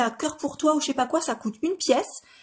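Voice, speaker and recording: In a strong northeastern French accent, a woman talks at a very fast pace with ordinary pitch variation against a quiet background. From northeastern France. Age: 30s. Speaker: makeup artist. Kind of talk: tutorial. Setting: live stream. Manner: hesitant, many fillers.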